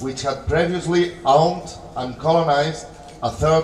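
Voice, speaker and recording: A man with a Catalan accent speaks at a fairly slow pace with ordinary pitch variation. Audible room echo and noticeable background noise fill the recording. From Catalonia. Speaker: political speaker. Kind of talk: conference speech. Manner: halting.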